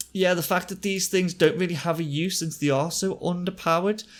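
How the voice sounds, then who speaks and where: Someone with a Liverpool accent speaks over noticeable background noise. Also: man. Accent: Liverpool-area accent, naturally fast. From northern England, near Liverpool. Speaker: gaming YouTuber. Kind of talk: game commentary tutorial. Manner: fast; casual, with fillers.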